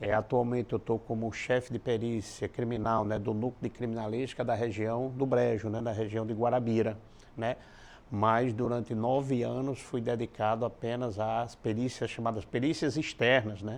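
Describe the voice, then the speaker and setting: Speaking at a moderate pace and medium pitch, a man keeps a monotone, flat intonation. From Paraíba, Brazil (interior). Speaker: criminal forensic expert. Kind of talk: interview.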